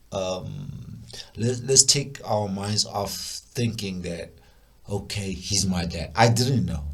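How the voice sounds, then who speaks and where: Noticeable background noise sits under the voice. The speaker goes at a very slow pace with lively intonation. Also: man, fairly low pitch for a man. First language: not English. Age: adult. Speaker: music producer. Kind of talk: personal storytelling. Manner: halting, repetitive stammers; casual, animated.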